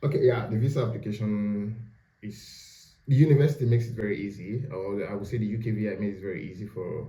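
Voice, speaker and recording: Speaking at a very fast pace, a man with a fairly low pitch and a dark, mellow, somewhat breathy tone uses ordinary pitch variation, with audible room echo. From Nigeria. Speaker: postgraduate student. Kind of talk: casual interview.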